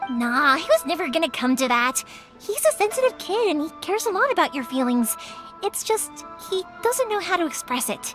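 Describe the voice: A woman uses a cartoonish character voice at an extremely high pitch, with big pitch swings, a fairly bright tone, a moderate pace and few pauses, while faint music plays in the background.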